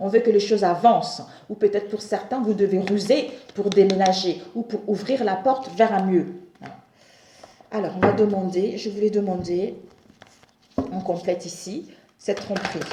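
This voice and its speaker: Over noticeable background noise, a woman speaks at a medium pitch. Her intonation is fairly even, broken by long, frequent pauses. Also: moderate pace. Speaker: tarot reader. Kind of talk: tarot reading monologue. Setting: home, at a table.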